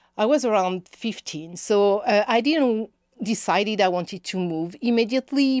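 Over a quiet background, a woman with a strong French accent speaks at a moderate pace with ordinary pitch variation. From France (Paris). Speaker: policy campaign director. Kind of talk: interview.

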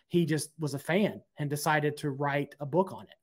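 Speaking with an American accent, a man's voice sits fairly high in pitch. It is somewhat breathy, with fairly even intonation. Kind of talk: casual chat.

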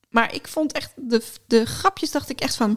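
In a very clean recording with a silent background, a woman talks at a high pitch with lively intonation. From Friesland, Netherlands. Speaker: podcast co-host and writer. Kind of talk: casual chat.

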